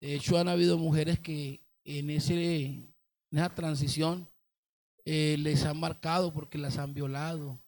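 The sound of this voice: This man's pitch sits fairly high and barely moves. His tone is slightly mellow, and his pace is fairly slow.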